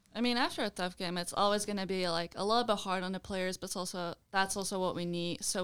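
Woman's fairly low voice in a Belgian accent, fairly quick and fairly even in intonation, on a very clean recording with a silent background. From Belgium. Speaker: college field hockey player. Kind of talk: interview.

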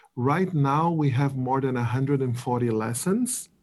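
With a Portuguese accent, a man speaks in a dark, mellow tone with fairly even intonation. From Brazil. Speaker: app product lead. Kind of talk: interview.

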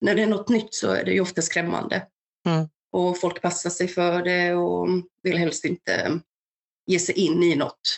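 A woman's fairly low, monotone voice with vocal fry, flat intonation, very even loudness, and long, frequent pauses. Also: moderate pace. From Balkans, raised in Värmland, Sweden from age 8. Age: 30s. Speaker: mental health ambassador, war refugee. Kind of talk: personal testimony.

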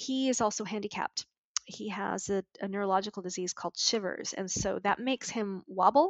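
Using a normal speaking voice, a woman with a Canadian accent talks at a fairly quick pace in a medium pitch with ordinary pitch variation. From Montreal, Canada. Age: 40s. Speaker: business coach and horse ranch owner. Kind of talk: interview.

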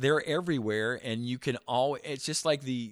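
A man with a Midwestern American accent at a moderate pace, with ordinary pitch variation, on a very clean recording with a silent background. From US Midwest, small-town central Illinois. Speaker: gun owner and shooting enthusiast. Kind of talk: interview.

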